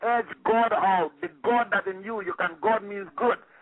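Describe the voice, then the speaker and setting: A man's high-pitched voice at a fairly quick pace with ordinary pitch variation, over noticeable background noise. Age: 50s. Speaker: martial arts grandmaster and dojo owner. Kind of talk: interview. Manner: repetitive, stumbling.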